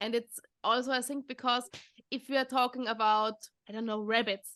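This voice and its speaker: A woman with a German accent speaks in a high, bright, sharp voice against a quiet background. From Austria. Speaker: podcast host, dog behaviour trainer. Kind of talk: casual interview chat. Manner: halting, many repetitions.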